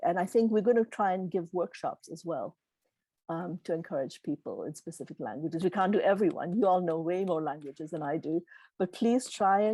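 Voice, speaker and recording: A woman speaks at a medium pitch and a moderate pace, her tone dark and mellow with ordinary pitch variation. The recording is very clean, dry and close, with a silent background and no echo. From Tanzania. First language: Gujarati. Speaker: keynote speaker. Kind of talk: Q&A answers at a virtual meeting.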